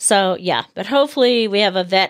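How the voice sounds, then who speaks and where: In an American accent, a woman speaks at a moderate pace with ordinary pitch variation and an unremarkable speaking voice, on a very clean, dry, close recording with no echo and a silent background. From United States. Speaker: host's wife. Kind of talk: casual chat.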